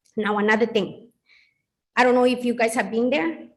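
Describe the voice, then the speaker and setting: There is audible room echo around this woman's voice. She talks at a fairly quick pace with a fairly high pitch. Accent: Spanish. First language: Spanish. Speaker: resident speaking at public hearing. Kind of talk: public comment at council meeting.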